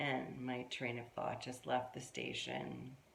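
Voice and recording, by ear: A woman speaks at an extremely low pitch and a slow pace, her fairly bright tone touched by vocal fry, with audible room echo around her.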